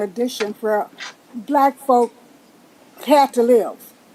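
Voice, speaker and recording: Against noticeable background noise, a woman with a Texan accent speaks at a fairly slow pace, her pitch high with ordinary pitch variation. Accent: Texan Southern US. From Texas, Pflugerville area. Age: 80s+. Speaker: public commenter at council meeting. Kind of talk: public comment. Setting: city council chamber.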